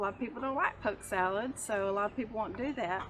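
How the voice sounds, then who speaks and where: A fairly high-pitched woman's voice with a Texas accent and fairly even intonation. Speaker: homesteader. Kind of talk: tutorial. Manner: hesitant, many fillers.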